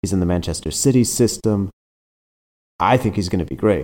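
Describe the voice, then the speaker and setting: A man with an American accent speaks at a fairly quick pace in a fairly low, dark, mellow voice with ordinary pitch variation. The recording is very clean, with a silent background. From United States. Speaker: soccer journalist. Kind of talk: casual interview chat.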